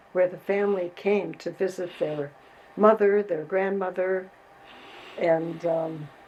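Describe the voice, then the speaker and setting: Speaking very slowly in an American accent, a woman at medium pitch uses fairly even intonation and long, frequent pauses over noticeable background noise. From US Midwest, Chicago. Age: 90s. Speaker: community activist. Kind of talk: interview.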